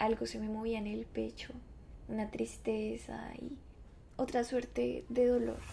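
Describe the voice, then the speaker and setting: A woman with a Bogotá accent, at a fairly slow pace. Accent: Bogotá (rolo) Colombian Spanish. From Bogotá, Colombia. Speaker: podcast host. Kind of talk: scripted narration.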